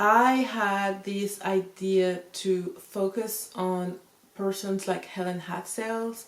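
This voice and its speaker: In a French accent, the speaker talks at a very slow pace with monotone, flat intonation. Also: woman. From France. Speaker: YouTuber talking about self-help figures. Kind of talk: casual talk to camera with notes. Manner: casual, talks informally with fillers.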